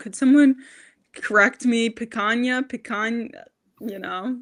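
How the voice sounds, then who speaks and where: A woman speaks with a Long Island accent. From Long Island, New York. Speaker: diet content creator. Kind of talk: casual chat.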